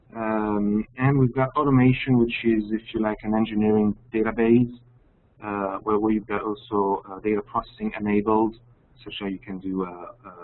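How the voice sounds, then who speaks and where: The speaker has a French accent and fairly even intonation. The pace is moderate. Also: man. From France. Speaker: application engineer. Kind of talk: webinar presentation. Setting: online webinar. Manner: halting, many fillers.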